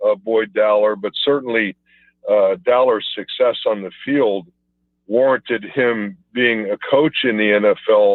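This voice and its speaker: At a fairly slow pace, a man uses a normal speaking voice at medium pitch with ordinary pitch variation. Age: 60s. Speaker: former pro football player. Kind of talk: phone interview. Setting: phone call.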